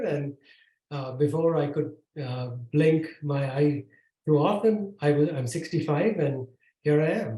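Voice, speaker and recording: A man's fairly high, somewhat breathy voice with a dark, mellow tone, fairly slow in pace and ordinary in pitch variation. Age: 60s. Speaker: tech executive and author. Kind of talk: podcast interview. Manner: halting, many fillers.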